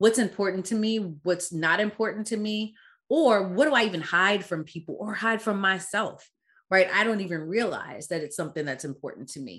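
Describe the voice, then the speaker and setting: A woman in an unremarkable speaking voice talks at medium pitch and a moderate pace, with lively intonation and big swings in loudness. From Caribbean-born, raised in US. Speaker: DEI consultant and founder. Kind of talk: casual interview conversation.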